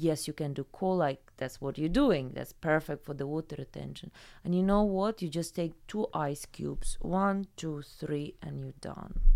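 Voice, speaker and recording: This speaker has a Ukrainian accent. There are hardly any pauses. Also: woman, very deep, low pitch for a woman, ordinary pitch variation, moderate pace, very clean recording, silent background. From Ukraine. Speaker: salon founder and massage therapist. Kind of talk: casual interview chat.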